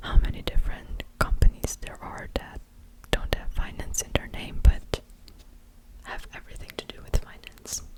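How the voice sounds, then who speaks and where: Whispered words come through noticeable background noise. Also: moderate pace. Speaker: ASMR creator. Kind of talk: ASMR talking. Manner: whispering; soft-spoken.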